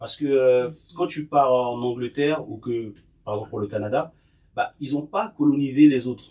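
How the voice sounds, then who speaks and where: Man with a dark, mellow tone at medium pitch, moderate pace, ordinary pitch variation and big swings in loudness. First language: Bété (Ivorian language) (speaking French). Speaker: podcast guest sharing experiences. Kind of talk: casual group discussion, personal testimony.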